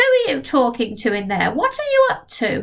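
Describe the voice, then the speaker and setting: Putting on a shrill character voice, a woman speaks at a moderate pace. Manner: suspicious, nagging.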